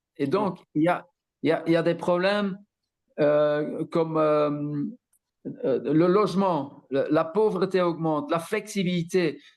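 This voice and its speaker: A man's high-pitched voice at a very slow pace, very even in loudness, with long, frequent pauses. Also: ordinary pitch variation. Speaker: political activist. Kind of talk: conference talk. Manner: halting, many repetitions.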